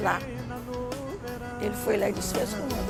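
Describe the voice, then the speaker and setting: A woman talks fairly quickly. There is music in the background. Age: 70s. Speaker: dance hall owner. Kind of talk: documentary interview answer.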